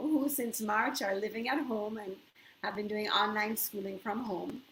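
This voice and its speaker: Lively intonation from a woman, with noticeable background noise behind her. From Jamaica, Kingston. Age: 50s. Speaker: yoga instructor. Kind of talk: live webinar. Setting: home bedroom, live stream.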